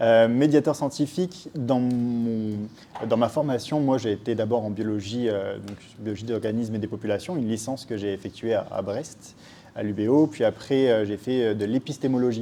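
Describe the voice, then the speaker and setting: Ordinary pitch variation and moderate speed from a man at a medium pitch. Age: 20s. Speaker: science educator. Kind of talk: interview. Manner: hesitant, many filler words.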